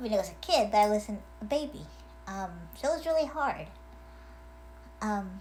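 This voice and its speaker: There is audible room echo as a woman talks at a moderate pace with long, frequent pauses. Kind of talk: casual video message. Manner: hesitant, many fillers.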